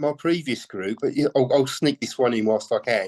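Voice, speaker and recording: Recorded dry and close with no echo against a quiet background, a man with a British accent speaks at a fairly high pitch. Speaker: musician, songwriter and guitarist. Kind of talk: interview. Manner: halting, many fillers and repetitions.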